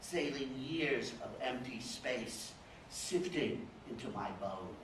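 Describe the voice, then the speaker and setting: Very slow speech from a man with an American accent at medium pitch, against noticeable background noise. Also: ordinary pitch variation. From Dallas, Texas. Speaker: poet reading at a literary fellows event. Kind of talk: poetry reading at a live literary event. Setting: live event, audience room.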